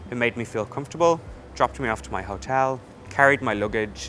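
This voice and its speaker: A man with an Irish accent talks at a fairly quick pace in a bright, sharp tone with vocal fry. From Ireland. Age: 20s. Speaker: hairdresser, salon owner. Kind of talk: testimonial interview answer.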